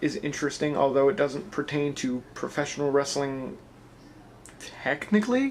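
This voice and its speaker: Mumbling, a man speaks at a fairly high pitch. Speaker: wrestling vlogger and pro wrestler. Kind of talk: casual vlog. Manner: a little mumbly.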